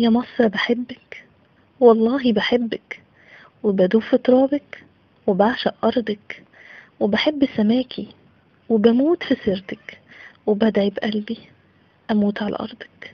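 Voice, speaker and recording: Speaking very slowly with long, frequent pauses, a woman with an Egyptian accent uses a fairly high pitch and fairly even intonation. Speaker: poet. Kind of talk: poetry reading.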